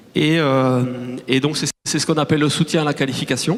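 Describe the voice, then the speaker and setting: Fairly high in pitch, a man talks at a moderate pace with fairly even intonation. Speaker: start-up CEO. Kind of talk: conference talk. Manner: hesitant, many fillers and restarts.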